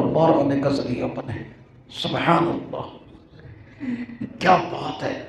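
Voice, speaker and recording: The intonation is lively, with audible room echo and noticeable background noise. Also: man. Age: 70s. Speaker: Islamic scholar and hadith teacher. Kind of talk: religious speech. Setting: speech at a religious course gathering.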